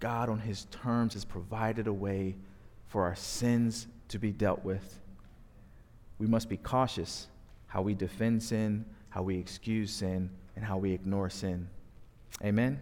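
A man with an American accent, fairly low pitch, fairly even intonation, fairly slow pace and long, frequent pauses. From US Northeast (South Jersey). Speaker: pastor. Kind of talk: sermon. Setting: church.

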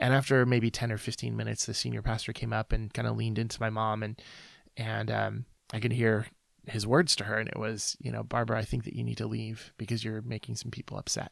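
A man at a very fast pace with a slight Midwestern accent, on a very clean recording with a silent background. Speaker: ministry founder and author. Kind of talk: interview testimony.

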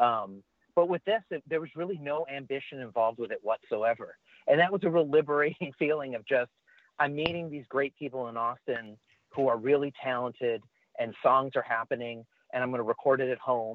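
A man talks at a fairly quick pace in an unremarkable speaking voice. His pitch varies in an ordinary way. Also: medium pitch for a man. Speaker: musician. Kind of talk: casual interview chat. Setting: video call.

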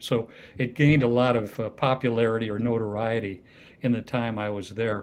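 A man with an American accent and an unremarkable speaking voice talks fairly quickly at medium pitch, with fairly even intonation. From US Midwest, Iowa. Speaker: retired health system CEO and advisor. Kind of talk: interview conversation.

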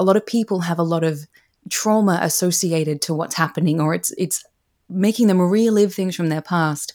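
At a moderate pace, a woman talks in an ordinary speaking voice with fairly low pitch and fairly even intonation. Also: very clean recording, silent background. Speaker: career coach and author. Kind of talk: casual interview chat.

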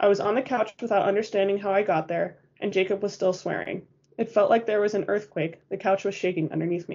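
The voice reads aloud in a natural way. Its intonation is fairly even.

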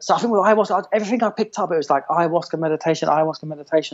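Talking at a very fast pace, a man has an English accent. His pitch is fairly high, with ordinary variation. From England. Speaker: massage therapist and movement coach. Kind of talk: casual chat.

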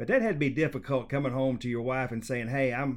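In an ordinary speaking voice, a man delivers his words at a fairly quick pace. He sits at a medium pitch and varies it in an ordinary way. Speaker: podcast host. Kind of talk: interview conversation.

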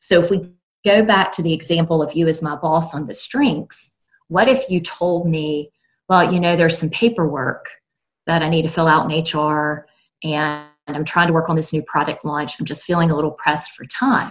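In a Southern US accent, a woman speaks at a moderate pace in a fairly low voice with ordinary pitch variation. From South Carolina. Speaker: author and work consultant. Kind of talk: casual interview chat.

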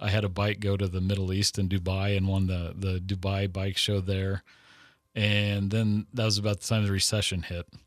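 A man with an American accent, fairly low in pitch, monotone and flat, at a moderate pace, in a very clean recording with a silent background. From Texas. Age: 40s. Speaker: airbrush artist. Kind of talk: interview.

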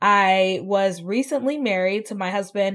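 Speaking with an American accent, a woman talks at a medium pitch. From US South. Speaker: community organization founder. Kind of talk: interview. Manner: long-winded.

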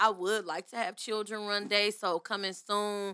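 A woman with an American accent speaks at medium pitch with a bright, sharp tone and monotone, flat intonation, in a dry, close sound with no echo on a very clean recording with a silent background. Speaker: small business owner. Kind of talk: casual chat.

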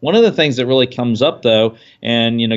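This is a man with an unremarkable speaking voice at a medium pitch. His intonation stays fairly even. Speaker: financial consultant. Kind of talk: casual expert interview about financial planning. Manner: conversational, filler-heavy.

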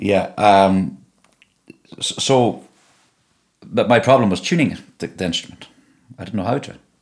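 Speaking with a Donegal accent, a man uses a medium pitch and lively intonation, with big swings in loudness. He leaves long, frequent pauses. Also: moderate pace. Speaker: singer and guitarist. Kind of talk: casual interview chat. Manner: halting, many repetitions.

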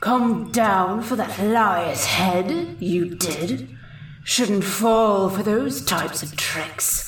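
Speaking at a very slow pace, a woman with a gruff voice of medium pitch is heard with a slight echo. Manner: warning, terse, grim.

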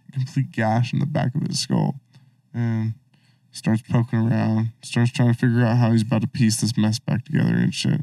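A man with an American accent speaks at a moderate pace and medium pitch, in a dark, mellow, somewhat breathy tone. The sound is dry and close, with no echo. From Colorado. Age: 20s. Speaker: rapper and musician. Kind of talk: casual chat. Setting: studio.

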